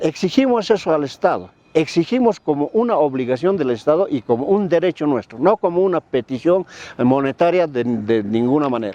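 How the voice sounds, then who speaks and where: With very wide pitch swings, a man with a fairly high pitch talks at a fairly quick pace. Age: 70s. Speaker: former political prisoner. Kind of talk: interview testimony.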